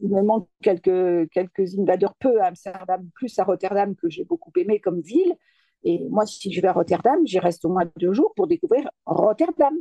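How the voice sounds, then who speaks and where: A woman's dark, mellow tone at a moderate pace, in a dry, close sound with no echo. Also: medium pitch for a woman, lively intonation. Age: 70s. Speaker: street art photographer and game player. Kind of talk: casual interview chat.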